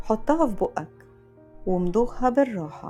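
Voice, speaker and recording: Music plays behind a woman with an Egyptian accent speaking at a very slow pace in a calm tone. Her pitch swings very widely. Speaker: voice performer. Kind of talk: guided mindfulness exercise. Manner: slow, calm.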